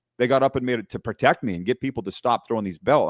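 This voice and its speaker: A loud, animated man at a very fast pace and medium pitch, dry and close with no echo, on a very clean recording with a silent background. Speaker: hockey broadcaster. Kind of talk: casual chat. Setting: live video stream.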